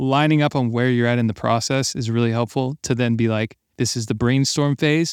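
In a very clean recording with a silent background, a man with an unremarkable speaking voice talks fairly quickly at a medium pitch with fairly even intonation, the sound dry and close with no echo. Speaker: podcast host and music producer. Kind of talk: casual interview conversation.

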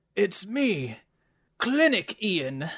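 A raspy put-on character voice at a middle pitch lurches through very wide pitch swings. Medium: actual play. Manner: fretful, strained.

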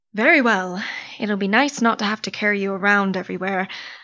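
The pace here is fairly quick. It is an ordinary speaking voice. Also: woman. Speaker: voice actor. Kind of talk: audio drama performance.

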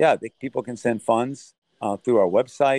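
Here is an ordinary speaking voice: a man with an American accent, medium pitch and ordinary pitch variation, in a dry, close sound with no echo. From Thailand, raised by American missionary parents. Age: 60s. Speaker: humanitarian aid leader and former soldier. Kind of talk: interview.

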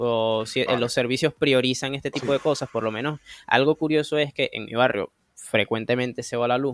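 A man's medium-pitched voice at a moderate pace, fairly even intonation, dry and close sound with no echo. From Venezuela, Anaco (Anzoátegui state). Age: 20s. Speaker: computer and phone repair technician. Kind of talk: casual chat.

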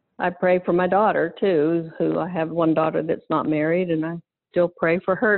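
At a fairly slow pace, a woman with an American accent speaks at a fairly low pitch. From western Pennsylvania. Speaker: ministry worker. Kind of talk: testimony.

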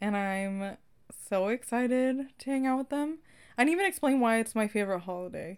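Over a very clean recording and silent background, a woman with an American accent and a normal speaking voice talks fairly quickly at a fairly high pitch with lively intonation. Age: 20s. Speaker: podcast co-host. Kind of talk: casual chat.

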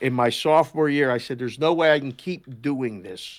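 A normal speaking voice at a moderate pace with ordinary pitch variation, in a very clean recording with a silent background. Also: man. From Pittsburgh, Pennsylvania. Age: 50s. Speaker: sports betting analyst, former oddsmaker. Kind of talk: casual chat.

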